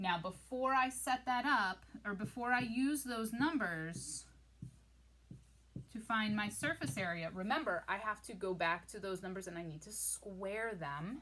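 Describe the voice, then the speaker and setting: A woman with a medium pitch and a bright, sharp tone talks at a fairly slow pace with lively intonation. Her voice shows vocal fry and big swings in loudness. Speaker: math teacher. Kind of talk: tutorial. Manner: casual.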